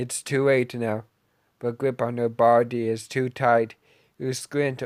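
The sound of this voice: A quiet background behind an unforced reading voice.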